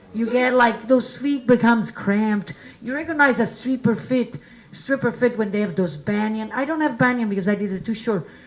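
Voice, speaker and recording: With an Italian accent, a woman talks at a fairly quick pace, her fairly high pitch showing ordinary variation. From Italy. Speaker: comedian and show host. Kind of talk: stand-up; introducing next comedian. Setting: stage with audience.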